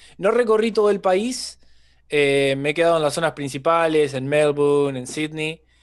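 Against a quiet background, a man with an Argentine accent talks at a moderate pace, his fairly high voice showing ordinary pitch variation. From Argentina, San Nicolás de los Arroyos (Buenos Aires province); Buenos Aires province, Argentina. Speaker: stand-up comedian. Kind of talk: casual chat. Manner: talkative. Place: home room. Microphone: studio mic.

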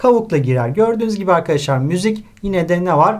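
Words come out at a fairly quick pace. Intonation rises and falls in a lively way. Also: man. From Turkey. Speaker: high school literature teacher. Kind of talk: lecture. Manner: hesitant with filler sounds.

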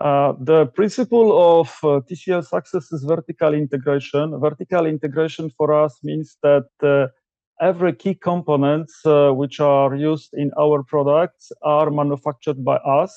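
A fairly high-pitched man at a moderate pace with fairly even intonation, the sound dry with no echo. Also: quiet background. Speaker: TV company product director. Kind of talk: interview answers. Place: home room. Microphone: video call.

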